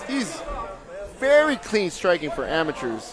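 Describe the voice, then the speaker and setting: Loud and high-pitched, a man talks with very wide pitch swings, audible room echo and noticeable background noise. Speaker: MMA commentator; fight coach. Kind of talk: live commentary. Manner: animated.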